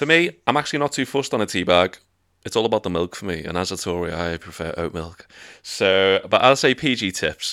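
With a Liverpool accent, a man speaks in a bright, sharp tone at a fairly low pitch, with lively intonation and a fairly quick pace. The very clean recording has a silent background and a dry, close sound with no echo. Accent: Scouse. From northern England. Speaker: podcast host. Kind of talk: casual chat.

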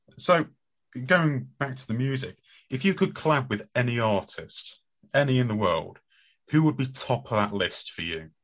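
A man speaks at a moderate pace with lively intonation, leaving long, frequent pauses. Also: medium pitch for a man. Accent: British. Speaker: radio host. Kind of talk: casual radio chat.

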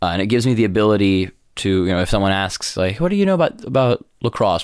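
A man with an American accent speaks at a very fast pace on a very clean recording with a silent background. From New York. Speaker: college sports and esports commentator. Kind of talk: interview.

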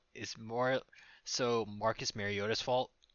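Here a man speaks at a fairly low pitch. His pitch varies in an ordinary way. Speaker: fantasy football podcast co-host. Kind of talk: casual chat.

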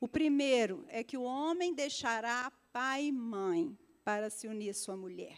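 A woman's high-pitched voice has lively intonation and unfolds at a fairly slow pace. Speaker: pastor. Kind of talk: sermon. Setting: church service with congregation.

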